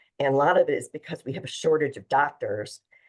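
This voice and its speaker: The speaker is a woman. She talks at a fairly quick clip. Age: 60s. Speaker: wellness entrepreneur, former accountant. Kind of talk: interview on a virtual summit.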